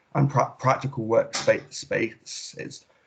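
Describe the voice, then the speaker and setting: A man speaks at a medium pitch in a somewhat breathy voice. The background is quiet. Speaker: student election candidate. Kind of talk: campaign speech.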